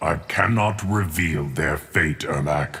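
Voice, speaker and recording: A man uses a put-on character voice pitched very deep and low. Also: fairly slow pace. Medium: video game. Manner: measured, calm.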